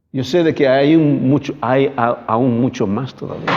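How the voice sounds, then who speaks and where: A man speaks at a fairly slow pace in a medium pitch, his dark, mellow tone carrying ordinary pitch variation. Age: 60s. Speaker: pastor. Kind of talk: sermon. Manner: halting.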